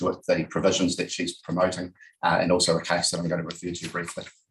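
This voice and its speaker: This man's voice is very deep and low in pitch. It comes across somewhat breathy. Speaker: lawyer. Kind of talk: legal submissions at a hearing. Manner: formal.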